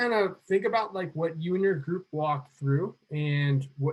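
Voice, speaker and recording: This man's voice is somewhat breathy. His pitch is fairly high for a man. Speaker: coding instructor. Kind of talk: online class lecture. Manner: fast.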